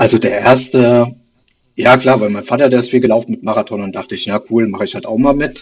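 A man with a plain, everyday voice speaks at a fairly quick pace and a medium pitch, with ordinary pitch variation. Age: 40s. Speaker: amateur runner, listener. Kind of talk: casual interview.

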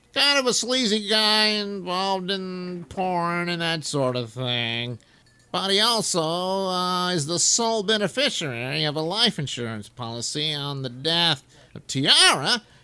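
A man performs a put-on character voice at a high pitch. He moves slowly, with very wide pitch swings.

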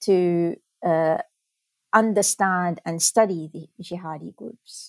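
A woman with an Arabic accent talks at a very slow pace with fairly even intonation. The recording is very clean, with a silent background and a dry, close sound with no echo. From Lebanon, Beirut. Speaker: professor and author. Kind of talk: interview. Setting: studio. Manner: halting with many fillers.

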